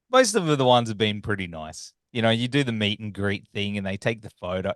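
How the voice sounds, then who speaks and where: A man speaks with an Australian accent. The sound is dry and close with no echo, over a quiet background. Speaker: podcast host, interviewer. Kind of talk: interview.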